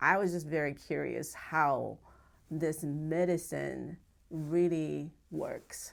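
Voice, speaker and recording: The recording is very clean, with a silent background. Speech unfolds at a very slow pace. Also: woman. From Japan. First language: Japanese. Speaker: acupuncturist. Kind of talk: interview testimony. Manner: halting.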